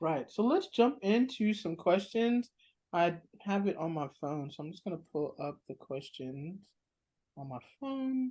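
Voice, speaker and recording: In an American accent, a woman speaks at a fairly slow pace with a dark, mellow tone, very wide pitch swings and big swings in loudness. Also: medium pitch for a woman. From California. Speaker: interviewer. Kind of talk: interview.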